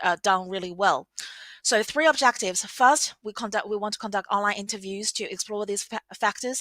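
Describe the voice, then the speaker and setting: A woman talks fairly quickly at a medium pitch in a bright, sharp tone with ordinary pitch variation, in a dry, close, very clean recording with no echo and a silent background. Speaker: academic researcher. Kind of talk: conference presentation. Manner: fast; hesitant fillers.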